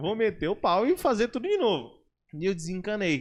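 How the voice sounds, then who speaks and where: Loud speech moves at a moderate pace with very wide pitch swings. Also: man. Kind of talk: casual podcast conversation.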